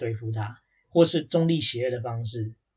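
Pitch varies in an ordinary way as this somewhat breathy speaker proceeds at a moderate pace. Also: man. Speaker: podcast co-host. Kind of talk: casual chat.

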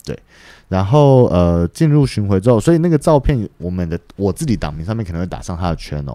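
A man at a fairly quick pace, fairly low in pitch, with a dark, mellow tone and very wide pitch swings, in a very clean recording with a silent background. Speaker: lighting programmer and master electrician. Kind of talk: casual chat.

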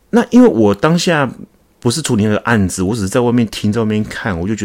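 Speaking at a very fast pace, a man uses lively intonation. His pitch is fairly low. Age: 40s. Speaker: podcast host, insurance agent. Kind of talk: solo podcast monologue. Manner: casual, with fillers.

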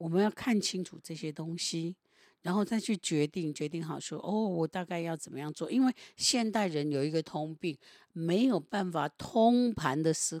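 A woman with an unremarkable speaking voice talks at a moderate pace, fairly low in pitch with ordinary variation, on a very clean recording with a silent background. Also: dry, close sound with no echo. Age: 60s. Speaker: meditation teacher. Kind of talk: casual chat with reflective teaching.

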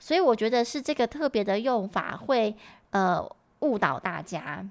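Against a silent background in a very clean recording, a woman with a normal speaking voice and a fairly high pitch talks at a fairly slow pace with lively intonation. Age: 30s. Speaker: English teacher and podcast host. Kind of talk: tutorial.

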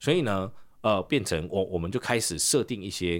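A man speaks with lively intonation and a fairly low pitch, captured in a very clean recording against a silent background. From Taiwan. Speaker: English teacher and podcaster. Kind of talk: casual interview.

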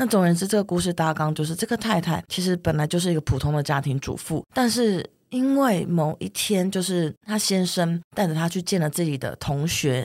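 Using a normal speaking voice, a woman talks at a moderate pace and fairly low pitch with lively intonation, recorded very cleanly against a silent background. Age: 30s. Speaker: writer. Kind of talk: interview conversation.

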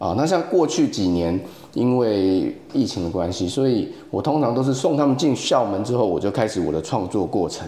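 With a Taiwanese accent, a man speaks at a moderate pace in a medium-pitched, dark, mellow voice that swings very widely in pitch. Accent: Taiwanese Mandarin. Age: 40s. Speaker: photographer and AI art teacher. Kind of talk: casual interview chat. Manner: halting with many fillers.

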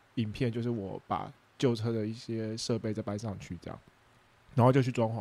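At a fairly quick pace, a man speaks with a dark, mellow tone, medium pitch and fairly even intonation. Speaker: food truck owner and podcast host. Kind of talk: casual solo talk with live chat.

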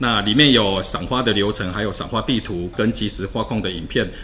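Over noticeable background noise, a man with a Taiwanese accent speaks at a moderate pace, his fairly low pitch showing ordinary variation. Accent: Taiwanese Mandarin. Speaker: government official. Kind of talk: casual chat; interview.

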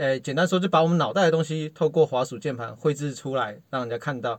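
Over a quiet background, a man with a plain, everyday voice speaks at a fairly quick pace in a fairly high pitch, with lively intonation. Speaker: former tech industry worker and parent. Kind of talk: casual chat.

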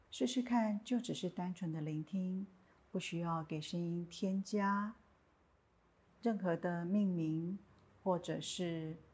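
A woman's somewhat breathy voice, fairly low in pitch with ordinary pitch variation, at a very slow pace with long, frequent pauses, on a very clean recording with a silent background. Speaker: meditation teacher. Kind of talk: guided meditation. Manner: plain natural tone, not especially soft.

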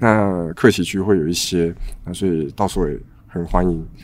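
Speaking at a moderate pace, a man with a very deep, low voice shows ordinary pitch variation. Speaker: coffee bean supplier. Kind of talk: casual chat. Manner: halting.

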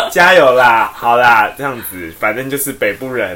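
Medium pitch from a male speaker at a moderate tempo, with noticeable noise in the background. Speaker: podcast co-host. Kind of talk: casual chat.

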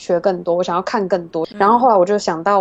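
Here a woman speaks at a medium pitch. Her intonation is fairly even. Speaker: podcast host and digital marketer. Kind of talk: interview.

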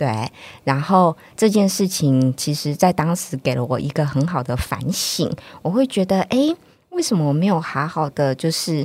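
A woman's very deep, low voice with a Taiwanese accent, lively intonation and a moderate pace. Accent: Taiwanese Mandarin. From northern Taiwan. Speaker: children's book author and reading promoter. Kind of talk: interview.

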